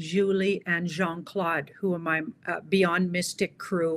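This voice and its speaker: A woman with a normal speaking voice talks at medium pitch and a fairly slow pace. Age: 60s. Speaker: tarot reader. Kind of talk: interview.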